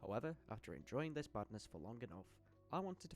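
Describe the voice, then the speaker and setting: Over background music, a speaker with a British accent talks very fast, the pitch swinging very widely. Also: man. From United Kingdom. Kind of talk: football history commentary narration. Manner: humorous, casual.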